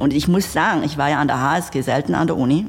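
The speaker is a woman with lively intonation. She keeps a moderate pace. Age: 30s. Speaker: entrepreneur. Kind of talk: interview.

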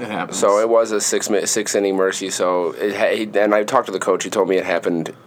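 A man speaks at a very fast pace and a fairly low pitch. Noticeable background noise runs underneath. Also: hardly any pauses. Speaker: podcast co-host, sports analyst.

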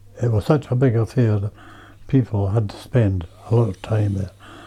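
A man speaks with a fairly low pitch and a dark, mellow tone. His voice is somewhat breathy, and his intonation is fairly even. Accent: West Highland Scottish. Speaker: local elder and storyteller. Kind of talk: casual interview.

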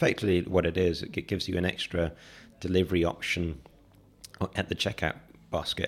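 A man with a London accent and a very deep, low pitch talks at a very fast pace with fairly even intonation and long, frequent pauses. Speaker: startup founder and CEO. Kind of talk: interview. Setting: studio. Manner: halting.

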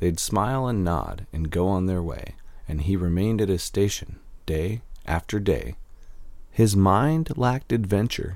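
A man speaks with a playful tone and lively intonation. His pitch is fairly low, and his pace is moderate. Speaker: poet and podcast host. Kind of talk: poem performed, rhyming story verse read aloud to listeners. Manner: steady rhythmic sing-song cadence, rhymes landing with playful emphasis.

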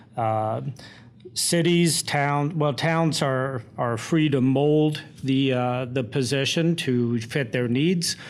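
A man at fairly high pitch and a very slow pace, with ordinary pitch variation, very even loudness and audible room echo. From US Midwest, Indiana. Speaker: town administrator. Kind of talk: interview.

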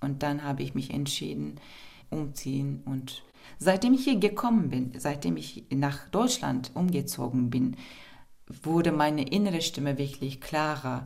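A woman speaks very slowly with a Turkish accent, her very deep, low pitch carrying vocal fry. Her intonation is lively, and room echo is audible. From Turkey, Istanbul. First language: Turkish (speaking German). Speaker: poet. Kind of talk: interview.

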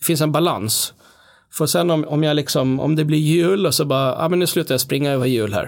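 A man with an unremarkable speaking voice talks at a fairly quick pace, using a fairly high pitch and ordinary pitch variation. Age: 40s. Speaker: musician. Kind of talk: casual chat.

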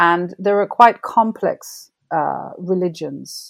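A woman speaks with vocal fry. Her pitch moves in an ordinary way. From Jamaica. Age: 50s. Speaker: novelist. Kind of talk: interview.

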